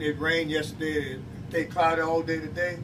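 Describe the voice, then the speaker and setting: Noticeable background noise and audible room echo surround a man with a fairly high pitch. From Louisiana, Lacombe area. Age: 60s. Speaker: retired fisherman giving fishing advice. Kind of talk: informal seminar talk. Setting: bait shop.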